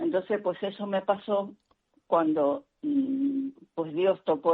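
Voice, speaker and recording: Her pace is fairly slow. The woman's pitch swings very widely. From Canary Islands. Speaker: religious sister and catechist. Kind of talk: interview. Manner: hesitant, many fillers.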